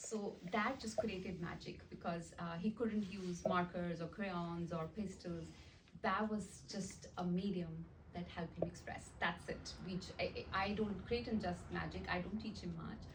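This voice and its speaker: With vocal fry and fairly even intonation, a woman talks at a medium pitch and a fairly slow pace in a room with audible echo. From India, small town. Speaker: art teacher and nonprofit founder. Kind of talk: presentation. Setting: meeting with audience.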